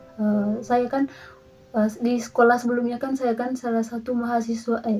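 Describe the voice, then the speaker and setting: Music plays in the background as a woman speaks in a flat monotone at a fairly high pitch. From Indonesia, Lembor, Flores. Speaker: university student. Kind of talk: interview. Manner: hesitant, many fillers.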